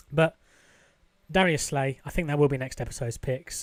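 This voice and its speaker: A man talks at a very fast pace in a British accent, his pitch fairly high. The recording is very clean, with a silent background. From UK. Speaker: gaming YouTuber. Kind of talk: gameplay commentary. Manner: casual, conversational.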